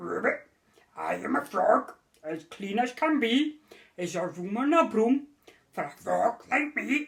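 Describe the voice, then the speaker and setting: A woman's croaky, put-on character voice, fairly high in pitch, fairly slow, with long, frequent pauses. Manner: polite, cheerful.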